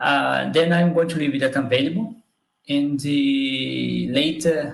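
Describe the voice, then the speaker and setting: Speaking very slowly, a man talks with a Portuguese accent. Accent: own accent, Portuguese-speaking. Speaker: biomathematics educator. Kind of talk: live stream talk. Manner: halting.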